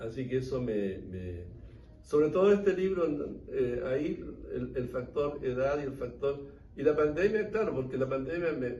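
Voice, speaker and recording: Room echo is audible as a man talks at a fairly slow pace. His pitch is fairly high, with lively intonation. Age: 80s+. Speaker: historian and author. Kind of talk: book talk Q&A.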